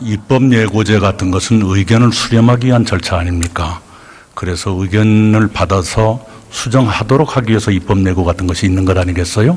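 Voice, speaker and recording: Over noticeable background noise, a man talks at a fairly quick pace in a fairly low pitch with ordinary pitch variation. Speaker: prime minister. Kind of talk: parliamentary interpellation answer.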